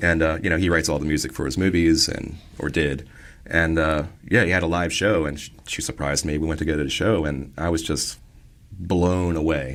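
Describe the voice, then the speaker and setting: Music plays in the background as a man speaks at a fairly quick pace with a very deep, low pitch. His intonation is fairly even, and the room echo is audible. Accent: American. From Maryland. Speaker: electronic musician. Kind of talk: casual interview. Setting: studio. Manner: casual, conversational.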